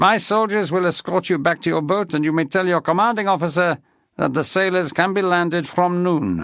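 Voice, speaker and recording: The speaker uses a put-on character voice. The background is quiet. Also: man. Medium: read story. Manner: imperious, theatrical.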